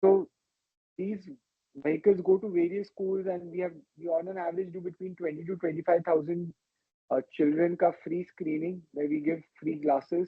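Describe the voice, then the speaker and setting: A soft-spoken man with a high pitch, monotone, flat intonation and a moderate pace. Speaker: ophthalmologist, retina specialist. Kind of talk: personal life-story talk to an audience.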